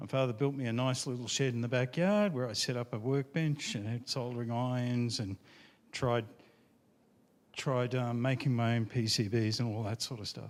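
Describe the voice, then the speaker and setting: With an Australian accent, a man talks at a moderate pace in a medium-pitched voice. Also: ordinary pitch variation. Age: 50s. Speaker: IT engineer, retro computing enthusiast. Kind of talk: conference talk.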